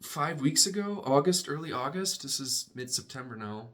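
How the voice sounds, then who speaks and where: With very wide swings in pitch, this man speaks at a moderate pace. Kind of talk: casual vlog monologue. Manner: halting, with hesitations and repetitions; words sometimes switched or jumbled.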